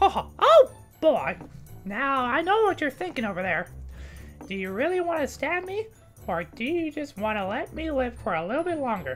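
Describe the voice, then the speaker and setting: A squeaky put-on character voice makes very wide pitch swings at a moderate pace, with long, frequent pauses. Clear music plays in the background. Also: female-sounding voice, high pitch for a woman. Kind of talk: gameplay commentary. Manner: squeaky, cartoonish. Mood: playful, teasing.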